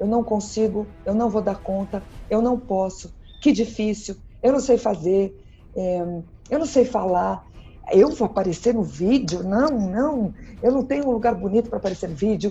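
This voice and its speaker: A woman speaks at a moderate pace with a fairly high pitch. Her voice is somewhat breathy, with ordinary pitch variation. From Brazil, São Paulo. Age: 50s. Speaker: party planning teacher and speaker. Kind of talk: podcast interview. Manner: animated.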